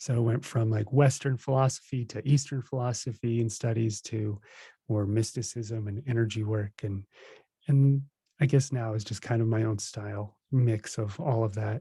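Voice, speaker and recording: On a very clean recording with a silent background, a man speaks at a moderate pace in a medium pitch, his dark, mellow tone somewhat breathy and his intonation fairly even. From New Jersey, US. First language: Russian. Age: 30s. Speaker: spiritual teacher. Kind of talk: podcast interview.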